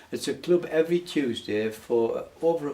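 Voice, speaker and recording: This man has a northern English accent, a dark, mellow tone and lively intonation. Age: 90s. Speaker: painter and charity fundraiser. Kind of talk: interview.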